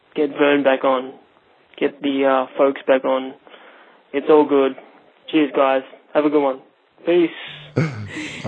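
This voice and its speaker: A man with an Australian accent, fairly high-pitched for a man, speaking at a very slow pace in a flat monotone, with long, frequent pauses. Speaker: podcast caller leaving a voicemail. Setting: phone voicemail.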